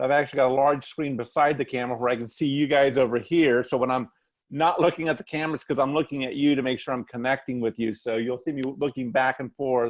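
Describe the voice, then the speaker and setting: A man talking at a very fast pace, with fairly even intonation. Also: medium pitch for a man. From Latin America, missionary family. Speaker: church finance consultant. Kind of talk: webinar presentation. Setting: video call.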